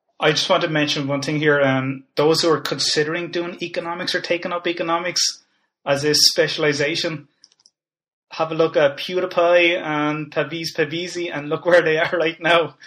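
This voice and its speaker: In an Irish accent, a man talks at a moderate pace with a fairly high pitch, a bright, sharp tone and monotone, flat intonation against a quiet background. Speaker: podcast host and lecturer. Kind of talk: interview.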